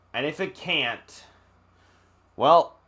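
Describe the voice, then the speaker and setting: Very clean recording of a male voice, the background silent. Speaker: gaming youtuber. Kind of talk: video game review. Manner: loud; aggressive.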